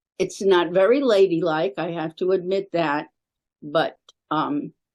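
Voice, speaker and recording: Lively intonation at a very slow pace. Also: woman, long, frequent pauses. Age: 80s+. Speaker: volunteer. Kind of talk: casual chat.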